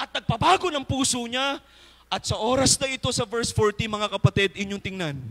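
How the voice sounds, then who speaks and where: A man talks at a fairly quick pace in a warm tone. His pitch is extremely high. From Philippines. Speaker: preacher. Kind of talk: sermon. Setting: church. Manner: fervent, emphatic, pulpit-style exhortation; polite, warm, with congregation call-and-response. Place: church. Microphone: handheld.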